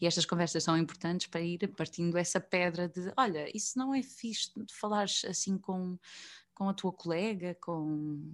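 A woman's unremarkable speaking voice, medium in pitch, with ordinary pitch variation, a moderate pace and a quiet background. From central Portugal (Coimbra, Viseu). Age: 20s. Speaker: actress. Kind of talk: interview conversation. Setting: video call.

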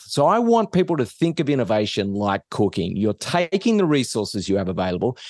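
A man with an Australian accent, dry and close with no echo, against a quiet background. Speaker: business professor. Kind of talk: interview.

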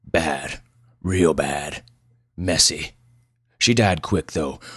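In a very clean recording with a silent background, a man uses a gruff put-on character voice with a slightly husky edge, an extremely low pitch, ordinary pitch variation, a fairly bright tone and a very slow pace.

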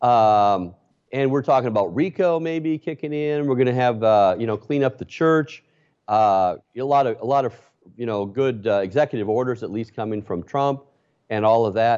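A man with an ordinary speaking voice, medium in pitch, with ordinary pitch variation and a moderate pace. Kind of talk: interview. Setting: video call.

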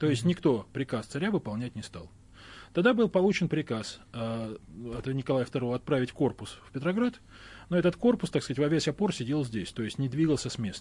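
A somewhat breathy man with a fairly high pitch talks at a fairly quick pace, his pitch swinging very widely, against a quiet background. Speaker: historian. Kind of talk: heated debate.

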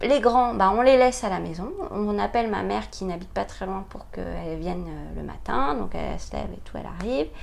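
A woman at a fairly quick pace, with big swings in loudness, audible room echo and noticeable background noise. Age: 40s. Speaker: mother sharing experience of late parenthood. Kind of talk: interview testimony. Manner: hesitant, many fillers.

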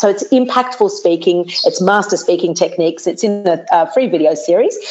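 Speaking at a moderate pace with hardly any pauses, a woman with an Australian accent keeps her loudness very even while her medium-pitched voice moves with lively intonation over noticeable background noise. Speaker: TV presenter and speaking coach. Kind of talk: interview. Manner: animated.

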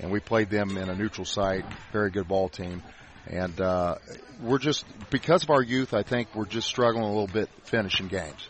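This man has a normal speaking voice, fairly low in pitch, and talks at a moderate pace. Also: ordinary pitch variation. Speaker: high school basketball head coach. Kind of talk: casual pregame interview.

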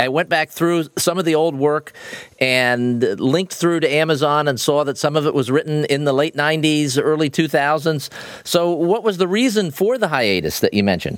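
A man speaks in a normal speaking voice at a moderate pace, his pitch fairly high for a man and his loudness very even. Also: ordinary pitch variation. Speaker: podcast host. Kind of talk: interview, casual chat.

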